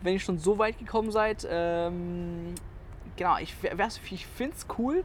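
This man's voice is high in pitch. His pitch variation is ordinary. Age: 20s. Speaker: podcast host. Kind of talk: casual chat.

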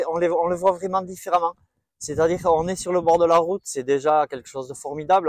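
The man's pitch is fairly high, and he talks at a fairly quick pace. The sound is dry and close with no echo. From French Basque Country, near Bayonne. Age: 40s. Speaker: nursing assistant and amateur runner. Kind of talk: casual interview. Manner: hesitant, many filler words.

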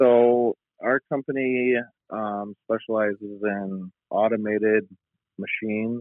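With an American accent, a man speaks in fairly even intonation. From West Michigan, US. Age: 30s. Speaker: machine builder and father. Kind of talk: casual interview. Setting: phone or remote call.

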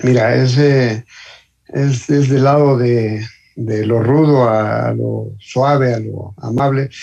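This voice has a dark, mellow tone and is somewhat breathy, moving at a very slow pace with fairly even intonation. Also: man, medium pitch for a man. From Mexico City. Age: 60s. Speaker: motorcyclist. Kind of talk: casual chat. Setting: phone call.

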